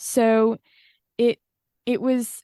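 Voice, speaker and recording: In a Welsh accent, a woman speaks with a fairly high pitch and a dark, mellow tone, recorded with a dry, close sound with no echo against a quiet background. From Wales. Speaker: singer-songwriter. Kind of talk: interview.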